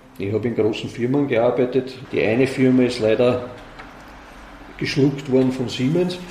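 A man's medium-pitched voice at a moderate pace, with fairly even intonation, long and frequent pauses, audible room echo and noticeable background noise. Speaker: volunteer museum director. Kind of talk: interview. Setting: museum. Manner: halting.

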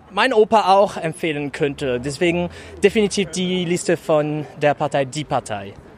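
A man with a high voice talks at a fairly slow pace with ordinary pitch variation. Noticeable background noise runs underneath. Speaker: local party member. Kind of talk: interview. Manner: halting.

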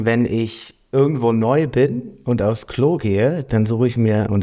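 A man speaks in a dark, mellow tone at medium pitch with ordinary pitch variation. The recording is very clean, with a silent background. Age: 20s. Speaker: podcast co-host. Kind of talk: casual chat.

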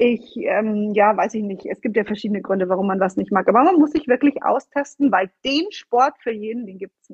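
Lively intonation from a woman at a moderate pace. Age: 30s. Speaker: fitness and nutrition coach. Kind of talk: interview. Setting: video call. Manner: animated.

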